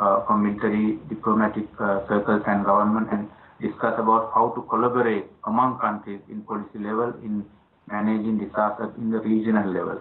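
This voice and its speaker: A fairly quick pace and monotone, flat intonation. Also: man. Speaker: interview guest. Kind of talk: interview answer. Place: home room. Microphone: video call.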